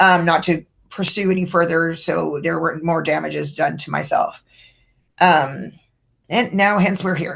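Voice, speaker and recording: With vocal fry and a fairly low pitch, a woman talks at a moderate pace. Her intonation is fairly even, and the background is quiet. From California (Livermore). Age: 60s. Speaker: brain tumor patient. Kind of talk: interview. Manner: hesitant, many fillers.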